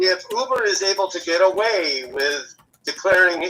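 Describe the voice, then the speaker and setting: The voice is raised and projected. A man speaks in a high pitch. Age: 60s. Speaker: rideshare driver and activist. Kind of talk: live interview.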